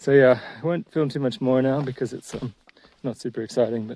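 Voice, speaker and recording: In an Australian accent, a man speaks with a dark, mellow tone. His intonation is fairly even. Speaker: hiking vlogger. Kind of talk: casual vlog narration. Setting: outdoors.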